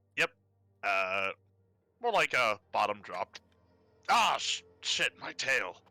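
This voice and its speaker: A man puts on a character voice, speaking at a fairly slow pace with a fairly low pitch and long, frequent pauses. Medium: actual play. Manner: casual, laughing.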